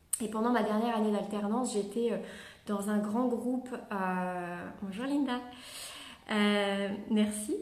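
A woman's fairly high pitch at a very slow pace, with fairly even intonation, long, frequent pauses, audible room echo and noticeable background noise. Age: 30s. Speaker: network marketing leader. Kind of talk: motivational talk. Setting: live video stream. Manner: halting.

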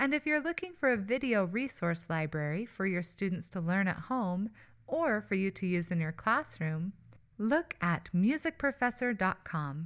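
A woman speaks with very wide pitch swings. The recording is very clean, with a silent background. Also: medium pitch for a woman, moderate pace. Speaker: podcast host. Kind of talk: interview conversation.

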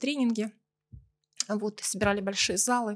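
A woman's plain, everyday voice, fairly high in pitch with ordinary pitch variation, at a fairly quick pace in a dry, close sound with no echo. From Russia, Belgorod. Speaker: business event organizer. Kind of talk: casual interview.

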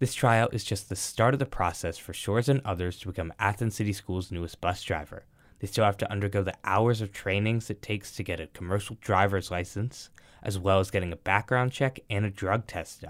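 A man's normal speaking voice, fairly low in pitch, at a fairly quick pace with ordinary pitch variation, in a very clean recording with a silent background. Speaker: news reporter. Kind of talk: news reporting.

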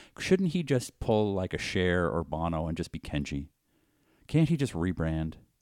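A man with a Boston accent and a very deep, low pitch. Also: lively intonation, moderate pace. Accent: Boston accent, swallows word endings. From Boston, Massachusetts. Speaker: podcast co-host. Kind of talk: casual chat.

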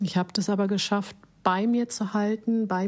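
A woman talks at a fairly slow pace in a medium pitch with a dark, mellow tone. Her intonation is monotone and flat. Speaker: podcast host, life coach. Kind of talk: reflective monologue.

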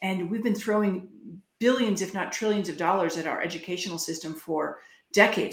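With audible room echo around her, a woman speaks at a medium pitch with ordinary variation. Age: 50s. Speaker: health freedom advocate. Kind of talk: interview.

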